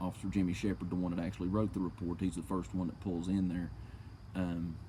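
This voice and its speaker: A man's very deep, low voice with an American accent, dark and mellow in tone, with vocal fry and a fairly quick pace. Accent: own accent, mistaken for slurred speech. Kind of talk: reading aloud a police report with commentary. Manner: casual, swearing, indignant.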